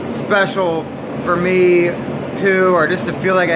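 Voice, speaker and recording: The speech is loud and fairly slow, with noticeable background noise and audible room echo. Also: man. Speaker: YouTuber. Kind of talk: video diary. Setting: barn with heater. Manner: casual, hesitant with fillers.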